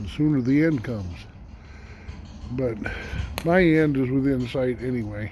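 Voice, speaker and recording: Against noticeable background noise and audible room echo, a man talks at a fairly slow pace, his medium pitch showing ordinary variation. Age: 70s. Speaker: homesteader. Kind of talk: casual vlog monologue. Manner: halting, many fillers.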